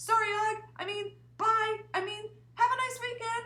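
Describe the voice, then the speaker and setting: Squeaky and extremely high, a woman's put-on character voice moves at a moderate pace. Her intonation stays monotone and flat. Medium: read story. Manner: flustered.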